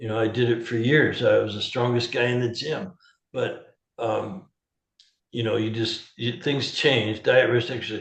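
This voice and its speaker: A man speaks at a moderate pace in a medium-pitched, somewhat breathy voice with ordinary pitch variation. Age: 70s. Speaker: holistic health practitioner. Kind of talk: interview. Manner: animated.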